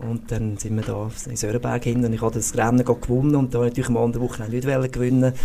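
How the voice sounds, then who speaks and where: A man with a medium pitch talks at a very fast pace in a monotone, flat way with hardly any pauses, over noticeable background noise. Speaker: sports physiotherapist, former ski racer. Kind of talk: podcast interview.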